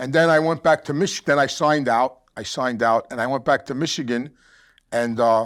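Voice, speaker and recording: On a very clean recording with a silent background, a man talks with a New York accent. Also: medium pitch for a man, ordinary pitch variation. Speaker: former mobster, addiction counselor. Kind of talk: casual chat.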